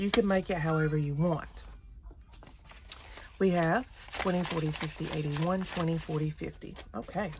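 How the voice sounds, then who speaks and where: Noticeable background noise accompanies a woman whose voice is fairly low in pitch. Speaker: budgeting vlogger. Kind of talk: casual tutorial, cash envelope stuffing. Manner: louder than usual, standing up.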